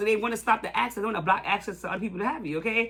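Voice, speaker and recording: The voice moves at a very fast pace over noticeable background noise. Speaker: tarot reader. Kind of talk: tarot reading monologue. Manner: halting, repetitive.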